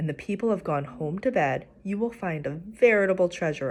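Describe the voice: Someone reads aloud plainly, with lively intonation.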